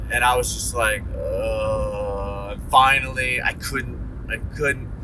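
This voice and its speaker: A man talks at a very slow pace with an American accent, over noticeable background noise and audible room echo. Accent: slight Ohio twang coming back. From Ohio. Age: 40s. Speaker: vlogger. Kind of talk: casual monologue. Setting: in a car.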